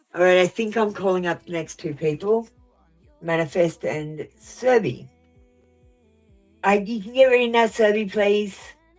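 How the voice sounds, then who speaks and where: A woman's medium-pitched voice over music in the background, at a moderate pace with long, frequent pauses, ordinary pitch variation, and big swings in loudness. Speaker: tarot reader. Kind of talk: live stream tarot reading. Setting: live stream. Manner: blunt.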